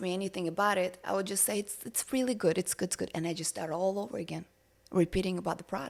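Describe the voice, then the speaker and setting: A woman's medium-pitched voice in a Russian accent, with fairly even intonation. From Russia, Siberia. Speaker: entrepreneur. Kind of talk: podcast interview. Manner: hesitant, many fillers.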